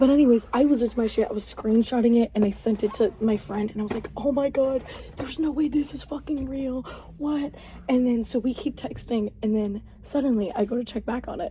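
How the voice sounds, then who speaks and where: Loud and animated, a woman speaks at a fairly quick pace in a high pitch with ordinary pitch variation. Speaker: podcast co-host. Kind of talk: casual chat.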